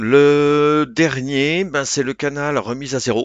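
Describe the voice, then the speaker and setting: This man's voice sits at a fairly high pitch. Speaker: DJ making a software tutorial. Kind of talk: tutorial. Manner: casual, hesitant with fillers.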